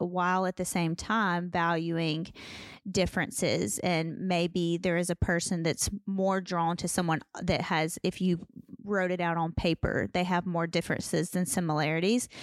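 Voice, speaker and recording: On a very clean recording with a silent background, a woman with an unremarkable speaking voice and a fairly low pitch speaks at a moderate pace and very even loudness. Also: fairly even intonation. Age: 30s. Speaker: podcast co-host. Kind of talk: casual chat.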